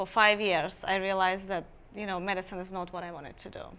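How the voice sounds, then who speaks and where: A woman speaks with an Armenian accent. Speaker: skincare business founder. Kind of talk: interview.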